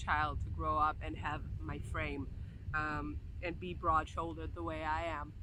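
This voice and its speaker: Audible room echo follows this woman as she speaks. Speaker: vlogger, aerial silk instructor. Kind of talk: vlog rant. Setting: outdoors by a sand mountain. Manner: halting, many fillers.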